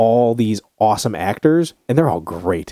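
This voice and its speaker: With a dry, close sound and no echo, a man speaks at a medium pitch in a dark, mellow tone with lively intonation. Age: 30s. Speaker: family movie podcast co-host, father. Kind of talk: casual family podcast chat.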